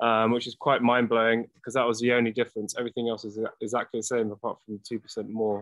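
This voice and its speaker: A man with an American accent speaks at a medium pitch in a monotone, flat way. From London, England. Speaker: product company representative. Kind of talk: casual chat.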